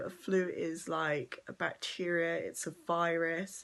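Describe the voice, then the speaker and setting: A quiet woman's voice. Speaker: vlogger. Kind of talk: casual vlog talk. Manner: quiet, straining to speak up; hesitant, many ums.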